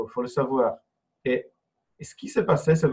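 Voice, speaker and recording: Somewhat breathy, a man talks with a non-native accent. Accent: foreign accent in French. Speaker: entrepreneur and online trainer. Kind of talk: interview. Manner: halting.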